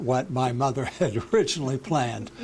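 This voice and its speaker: Noticeable noise can be heard in the background as a man talks. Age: 70s. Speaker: lawyer. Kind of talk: oral history interview. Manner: halting, many fillers.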